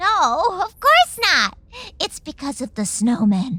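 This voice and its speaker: Using a put-on character voice, a woman speaks high and fairly slowly, her pitch swinging very widely. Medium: audio drama.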